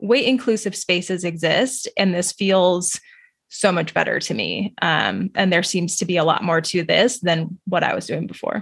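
A somewhat breathy woman's voice in an American accent, medium in pitch, with ordinary pitch variation and a moderate pace. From US Southwest, New Mexico. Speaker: registered dietitian. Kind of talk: interview.

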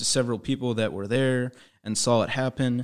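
Fairly even in intonation, a man speaks at a very fast pace in a very clean recording with a silent background. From Indiana. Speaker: student news reporter. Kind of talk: casual interview. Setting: studio.

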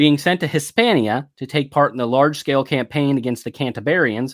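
At a moderate pace, a man speaks in a normal speaking voice with a fairly high pitch. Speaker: podcast narrator. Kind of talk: history documentary narration. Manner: measured, formal, authoritative storytelling.

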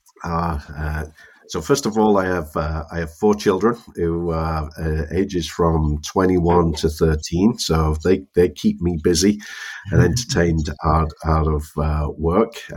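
A man speaks in a very deep, low voice at a fairly slow pace, with ordinary pitch variation. Noticeable background noise can be heard. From northern England. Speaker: tech company executive. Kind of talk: interview. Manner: halting, many repetitions.

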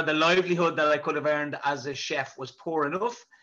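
In a Dublin accent, the voice has a bright, sharp tone and fairly even intonation. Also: man. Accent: Dublin Irish. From Dublin, Ireland (South Inner City). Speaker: prison governor. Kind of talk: interview.

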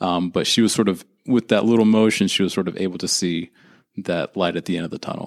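A plain, everyday voice from a man, fairly low in pitch, fairly quick, with fairly even intonation, on a very clean recording with a silent background. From Northern California, Santa Rosa. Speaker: occupational therapy student. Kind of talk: interview.

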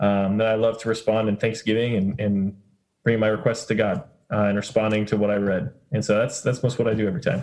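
Very fast and at a very even loudness, a man speaks in a fairly low pitch with fairly even intonation. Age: 30s. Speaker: campus ministry director. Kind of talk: casual group discussion.

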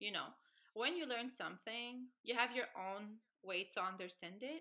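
With a Quebec French accent, a woman talks at a fairly slow pace in a high pitch, her tone bright and sharp and her intonation lively. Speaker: dancer and dance instructor. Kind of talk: casual interview. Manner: soft-spoken.

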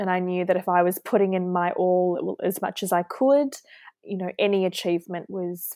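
Very clean audio against a silent background, a woman with fairly even intonation. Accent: New Zealand. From New Zealand, Auckland. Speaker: hospital pharmacist. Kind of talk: interview.

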